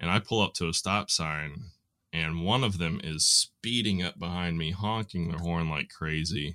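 A man with a Southern US accent speaks at a moderate pace in a very deep, low voice with a bright, sharp tone. His pitch varies in an ordinary way, and the sound is dry and close, with no echo. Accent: Southern American. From US South, Nashville Tennessee. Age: 30s. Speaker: hardware store worker. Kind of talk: casual conversation. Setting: remote recording.

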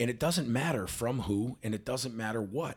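This man speaks at a moderate pace in a medium pitch with ordinary pitch variation. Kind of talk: motivational pep talk. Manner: emphatic, repeats key lines for impact; earnest, direct, rallying the listener.

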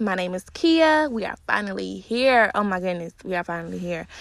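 A woman speaks with lively intonation in a dry, close sound with no echo, on a very clean recording over a silent background. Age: 20s. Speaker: podcast host. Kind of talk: solo podcast intro monologue.

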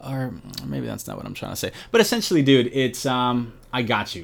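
Here a man speaks in a New York accent. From Brooklyn, New York. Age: 30s. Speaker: finance worker and YouTuber. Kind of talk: casual chat.

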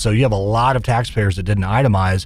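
A man speaks very fast in a somewhat breathy voice, fairly low in pitch and with ordinary pitch variation. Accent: American. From Kansas (Wichita). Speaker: business association head. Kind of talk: interview.

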